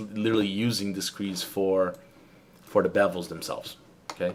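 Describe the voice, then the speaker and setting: At a moderate pace, a man talks with a Brazilian Portuguese accent. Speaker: 3D modeling instructor. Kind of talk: live-streamed tutorial. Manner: halting, with fillers and repetitions.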